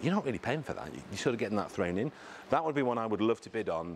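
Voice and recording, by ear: Lively intonation runs through a man's fairly low-pitched voice.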